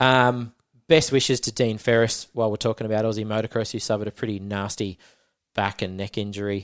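A man speaks fairly quickly with an Australian accent. The recording is very clean, the background silent. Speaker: motocross podcast host. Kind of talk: casual chat.

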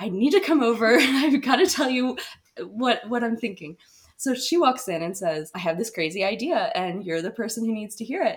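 Speaking with an American accent, a woman has a fairly high pitch and very wide pitch swings. Her pace is moderate. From Asheville, North Carolina. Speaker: podcast co-host, photographer. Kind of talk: casual chat.

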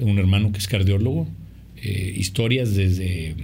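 The speech moves at a moderate pace, and audible room echo surrounds it. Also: man. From Mexico, Monterrey. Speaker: film director and producer. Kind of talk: interview. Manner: halting, repeats words.

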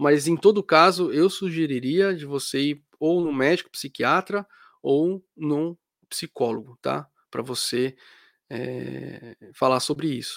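In a very clean, dry and close recording with no echo and a silent background, a man talks very slowly at a fairly high pitch with ordinary variation. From Brazil. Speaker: psychology youtuber and podcaster. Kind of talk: live stream chat with viewers. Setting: live stream. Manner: casual, hesitant with fillers.

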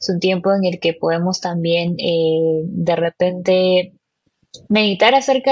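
A woman with a medium-pitched, somewhat breathy voice is speaking. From Peru. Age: 20s. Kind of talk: casual chat about faith. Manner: halting, many fillers.

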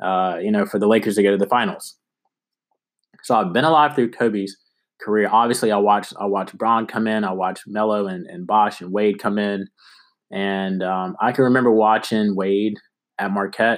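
A man speaks at a moderate pace in a fairly low voice with fairly even intonation, on a very clean recording with a silent background. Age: 20s. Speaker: sports podcast host. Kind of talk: solo sports commentary podcast. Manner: halting, many fillers and repeats.

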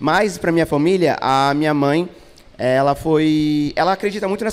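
Noticeable background noise runs behind a man speaking at a moderate pace. His pitch is fairly high, with ordinary variation. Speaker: podcast host. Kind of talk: casual chat. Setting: stage with audience.

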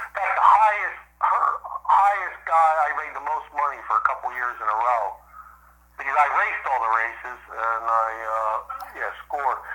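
Over noticeable background noise, a man with an American accent speaks with very wide pitch swings. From US East Coast. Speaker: former pro motocross racer. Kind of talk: interview.

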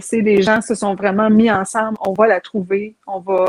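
Her medium-pitched voice stays monotone, with flat intonation throughout as the woman speaks. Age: 40s. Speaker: TikTok content creator. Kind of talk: casual interview chat.

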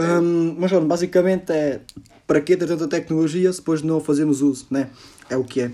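Here a man speaks with a European Portuguese accent at a fairly quick pace. His tone is dark and mellow. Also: fairly high pitch for a man, fairly even intonation. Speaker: podcast host. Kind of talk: casual chat. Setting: call.

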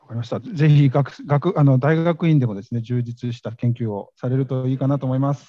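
A man's dark, mellow voice at medium pitch, fairly quick, with hardly any pauses and ordinary pitch variation. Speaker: radio host. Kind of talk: live event reporting. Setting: conference venue, live. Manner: halting, many fillers.

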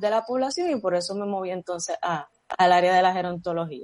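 At a fairly quick pace, a woman speaks with ordinary pitch variation in an unremarkable speaking voice, the sound dry and close with no echo. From Puerto Rico, Vega Baja. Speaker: athletic therapist and public health professional. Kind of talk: interview.

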